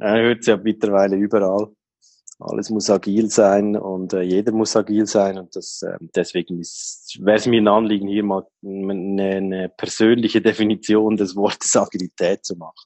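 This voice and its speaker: Monotone and flat in intonation, a man speaks at a moderate pace and fairly low pitch with big swings in loudness. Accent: Swiss. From Switzerland. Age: 30s. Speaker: IT helpdesk worker. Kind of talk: interview. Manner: hesitant, many fillers.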